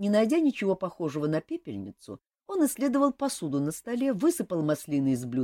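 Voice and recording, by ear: Against a quiet background, the speaker is reading aloud in a natural voice.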